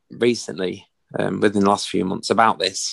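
This man speaks with a Yorkshire accent and vocal fry. His intonation stays fairly even. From northern England, Doncaster area. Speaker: military veteran, children's fitness entrepreneur. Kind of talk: casual interview.

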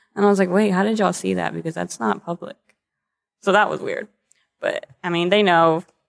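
A fairly quick pace with long, frequent pauses, in an American accent, in a dry, close sound with no echo. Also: woman. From Texas, Corpus Christi. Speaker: model and actor. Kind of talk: casual interview.

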